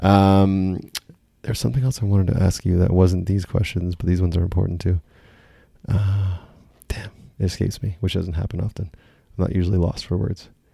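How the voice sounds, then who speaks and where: Very deep and low, this man's voice has a dark, mellow tone and is somewhat breathy. He moves at a fairly quick pace with long, frequent pauses. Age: 30s. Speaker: podcast host. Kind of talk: casual interview. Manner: upbeat, animated.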